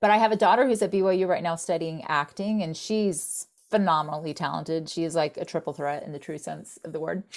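In an American accent, a woman with an unremarkable speaking voice talks at a fairly quick pace and a fairly low pitch, with hardly any pauses and ordinary pitch variation. Her loudness swings widely, on a very clean recording with a silent background. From Florida. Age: 50s. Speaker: software company co-founder. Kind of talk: interview.

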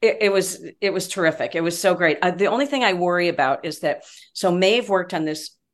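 Speaking at a fairly quick pace, a woman sounds animated. Her pitch is medium, with ordinary variation. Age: 60s. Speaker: sports broadcaster. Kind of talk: casual chat.

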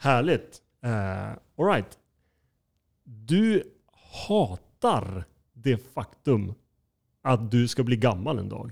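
Speaking at a very slow pace with long, frequent pauses, a man uses lively intonation. His voice sits at medium pitch and is somewhat breathy. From northern Sweden (Skellefteå). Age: 30s. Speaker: podcast host, culture producer. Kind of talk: casual chat.

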